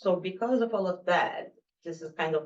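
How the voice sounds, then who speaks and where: A woman speaks at a moderate pace. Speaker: activist and journalist. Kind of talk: panel presentation.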